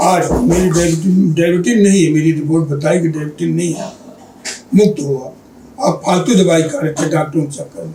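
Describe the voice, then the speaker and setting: The voice moves at a moderate pace with ordinary pitch variation, amid audible room echo and noticeable background noise. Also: man, high pitch for a man. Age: 70s. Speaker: diabetes patient. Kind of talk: interview testimony. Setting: clinic OPD.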